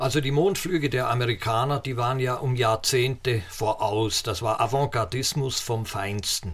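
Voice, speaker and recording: Somewhat breathy speech at a moderate pace with hardly any pauses and ordinary pitch variation. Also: man, medium pitch for a man. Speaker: physicist and space expert. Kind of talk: interview.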